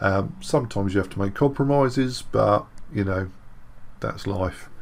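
Moderately paced and showing ordinary pitch variation, a man's fairly low voice carries vocal fry. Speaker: 3D modelling tutor. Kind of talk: tutorial.

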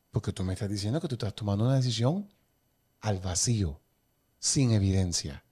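On a very clean recording with a silent background, a man with a fairly low, dark, mellow and somewhat breathy voice speaks at a moderate pace with lively intonation and long, frequent pauses. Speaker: podcast host. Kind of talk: interview.

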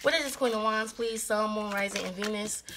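A woman's raised, projected voice. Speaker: tarot reader. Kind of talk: casual tarot reading commentary. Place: home room. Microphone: phone near.

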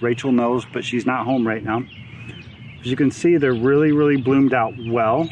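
Over light background noise, a man talks at a fairly quick pace with fairly even intonation in a dry sound with no echo. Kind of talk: casual vlog tutorial. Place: garden.

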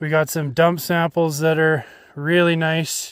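A man speaks at a fairly slow pace. The sound is dry with no echo, over a quiet background. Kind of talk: field tutorial commentary. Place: forest. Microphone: phone near.

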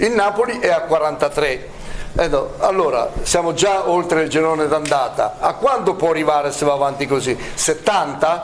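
The speech moves at a fairly slow pace against light background noise. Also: man. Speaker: former footballer pundit. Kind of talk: heated studio debate. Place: studio.

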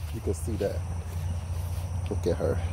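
The man's voice comes through with a dry sound with no echo and light background noise. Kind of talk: casual vlog chat. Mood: relaxed, cheerful. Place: garden.

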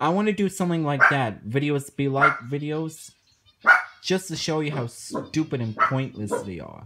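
Loud background noise fills the clip. The speaking pace is moderate. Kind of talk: casual vlog chat. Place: home room. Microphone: phone near.

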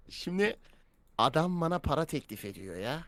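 A man is speaking. His pitch swings very widely. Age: 20s. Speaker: streamer. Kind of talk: casual live stream chat. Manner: animated.

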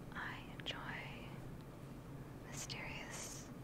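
A woman is speaking over loud background noise. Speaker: ASMR creator. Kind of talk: ASMR book reading. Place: home room. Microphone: studio mic.

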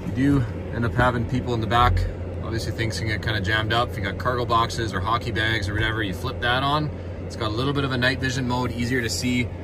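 A man rushes along at a very fast pace while noticeable noise carries on behind him. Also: dry sound with no echo. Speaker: car salesperson. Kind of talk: product walkthrough. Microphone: phone near.

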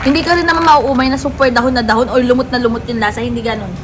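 A woman speaks at a very fast pace in a high, animated voice with ordinary pitch variation, with audible room echo and noticeable background noise. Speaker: food vlogger. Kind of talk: food review vlog.

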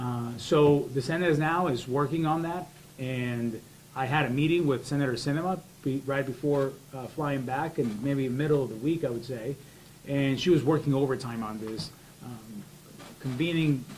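A man talks with ordinary pitch variation at a moderate pace while light background noise plays. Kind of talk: opening statement at a roundtable. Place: meeting room. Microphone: handheld.

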